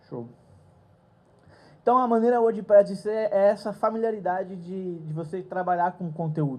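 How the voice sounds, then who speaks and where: A man's voice is dark and mellow in tone, with ordinary pitch variation. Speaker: conference speaker. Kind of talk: lecture. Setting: stage with audience.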